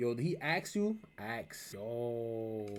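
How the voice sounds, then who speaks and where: Here is a man with a New York accent. His tone is animated. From New York City, the Bronx. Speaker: reaction streamer. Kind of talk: reaction commentary, casual.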